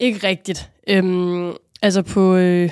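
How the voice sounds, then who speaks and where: A woman with a fairly low pitch speaks in a monotone, flat way in a very clean recording with a silent background. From Denmark, Rungsted (North Zealand). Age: 20s. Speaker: judo athlete. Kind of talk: casual interview.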